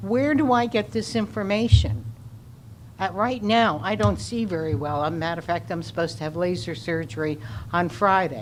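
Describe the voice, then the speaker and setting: At a moderate pace, a woman with a fairly low pitch speaks with very wide pitch swings, with audible room echo and noticeable background noise around her. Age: 80s+. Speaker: resident speaking at public comment. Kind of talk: public comment at city council meeting.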